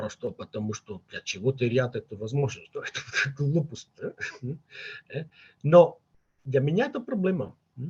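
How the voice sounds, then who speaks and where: A man speaks with a Catalan accent. His voice is somewhat breathy. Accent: Catalan accent in Russian. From Catalonia, Spain. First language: Catalan (speaking Russian). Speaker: linguist, father of bilingual children. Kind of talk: interview conversation. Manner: halting, many fillers.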